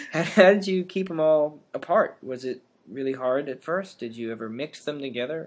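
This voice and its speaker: Lively in intonation and moderate in pace, a man with a fairly high pitch has a plain, everyday voice. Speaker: podcast host, linguistics grad student. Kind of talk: interview. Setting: podcast recording.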